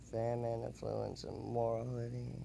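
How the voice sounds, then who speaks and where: In a room with audible echo, a man speaks quietly and at a very slow pace. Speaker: gaming YouTuber. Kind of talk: casual commentary reading game prompts. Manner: halting.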